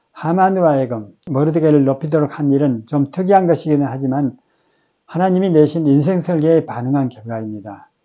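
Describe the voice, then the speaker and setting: A man with a fairly high pitch and a dark, mellow tone talks at a fairly quick pace. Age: 70s. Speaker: ministry staff worker giving daily devotional. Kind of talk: devotional Bible meditation. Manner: formal.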